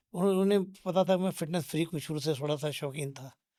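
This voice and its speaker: A man with a dark, mellow tone and fairly even intonation speaks at a moderate pace in a very clean recording with a silent background. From Punjab, India (Jalandhar). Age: 70s. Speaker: fitness enthusiast. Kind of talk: interview.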